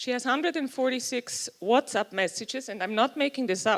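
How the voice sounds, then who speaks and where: A woman with a Swiss German accent speaks with lively intonation. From Switzerland. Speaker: youth and technology researcher. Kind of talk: conference talk. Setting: stage with audience.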